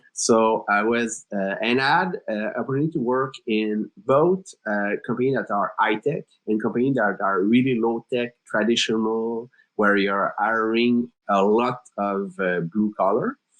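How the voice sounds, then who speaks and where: A man's medium-pitched voice with ordinary pitch variation, in a French Canadian accent. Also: fairly slow pace. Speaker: startup co-founder, HR executive. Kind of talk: podcast interview. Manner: hesitant, many filler words.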